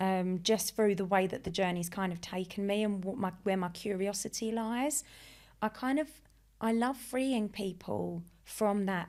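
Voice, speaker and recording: Someone with an Essex accent talks at a moderate pace on a very clean recording with a silent background. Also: woman, medium pitch for a woman, ordinary pitch variation. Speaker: life coach and hypnotist. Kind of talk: podcast interview. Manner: animated.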